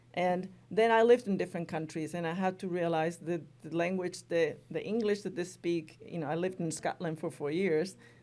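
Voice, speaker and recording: A woman with a Spanish accent, dark, mellow tone and fairly quick pace, on a very clean recording with a silent background. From Spain. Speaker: college language instructor. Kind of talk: interview. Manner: conversational, many fillers.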